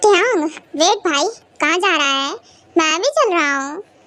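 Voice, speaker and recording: Using a squeaky, put-on character voice, the speaker goes at a moderate pace with lively intonation. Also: woman, extremely high pitch for a woman. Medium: fan dub. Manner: casual, teasing.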